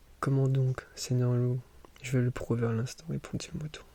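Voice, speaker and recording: Soft-spoken and somewhat breathy, a man talks at a fairly slow pace in a dark, mellow tone. The sound is dry and close, with no echo. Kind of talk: sleep story reading.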